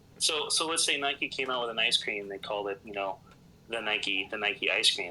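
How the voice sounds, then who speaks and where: Bright and sharp in tone, a man's fairly low voice with a Midwestern US accent moves at a moderate pace with ordinary pitch variation. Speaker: podcast guest, gamer. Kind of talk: casual chat. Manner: animated.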